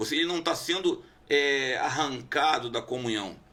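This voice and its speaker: This man's voice sits fairly high in pitch. Noticeable background noise can be heard. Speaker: pastor. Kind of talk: casual debate.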